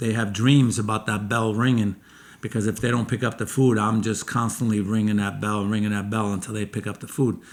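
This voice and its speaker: A man with a plain, everyday voice, an American accent, medium pitch and fairly even intonation. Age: 60s. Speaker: chef and restaurant owner. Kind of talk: casual chat.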